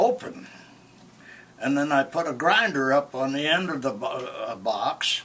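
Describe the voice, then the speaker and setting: With noticeable background noise behind him, a man talks at a moderate pace, his fairly high pitch carrying lively intonation. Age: 80s+. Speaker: storyteller. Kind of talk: oral history interview. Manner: halting.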